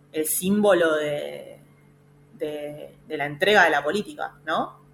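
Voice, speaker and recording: Noticeable background noise is present while the pitch moves with ordinary variation. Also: woman. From Argentina, Pilar (Buenos Aires province). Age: 30s. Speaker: feminist politician and government official. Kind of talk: radio interview. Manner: halting, many fillers and repetitions.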